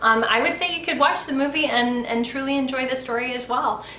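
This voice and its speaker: A woman speaks with a high pitch. Noticeable background noise and audible room echo surround her voice. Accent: American. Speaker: YouTuber, book and movie reviewer. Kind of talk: casual review monologue. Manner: conversational with fillers.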